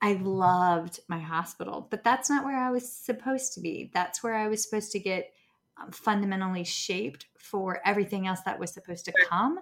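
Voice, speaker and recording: A woman speaks at medium pitch with a Southern US accent. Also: ordinary pitch variation, fairly quick pace. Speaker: speech pathologist. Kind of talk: casual chat. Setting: video call.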